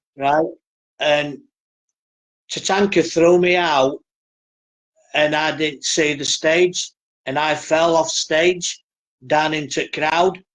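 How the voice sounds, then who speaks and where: Very slowly and with long, frequent pauses, a man with a fairly high pitch speaks in a northern English accent and a monotone, flat intonation. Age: 60s. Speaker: professional wrestler. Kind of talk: interview, casual storytelling.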